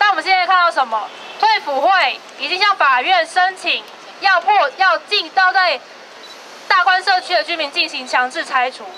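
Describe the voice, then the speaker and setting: A woman with a Taiwanese accent speaks at an extremely high pitch in a raised, projected voice, with ordinary pitch variation and a moderate pace over light background noise. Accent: Taiwanese Mandarin. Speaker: human rights advocate. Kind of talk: protest speech. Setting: outdoors. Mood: critical, indignant. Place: street. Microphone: handheld.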